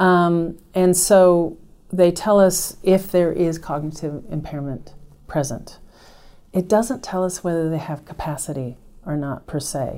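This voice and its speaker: A woman in an American accent, dark, mellow tone, ordinary pitch variation, fairly slow pace. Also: fairly low pitch for a woman. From United States. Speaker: nurse practitioner and nursing professor. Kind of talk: interview on clinical care.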